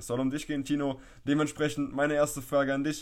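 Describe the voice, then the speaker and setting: A man with a plain, everyday voice and a fairly high pitch speaks at a fairly quick pace on a very clean recording with a silent background. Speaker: podcast host, personal trainer. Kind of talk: casual chat. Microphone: poor audio quality.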